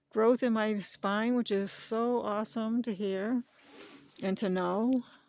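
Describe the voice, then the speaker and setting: A woman speaks at a fairly slow pace on a very clean recording with a silent background. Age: 60s. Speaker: channel owner, dog breeder. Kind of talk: personal vlog, life story. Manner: halting.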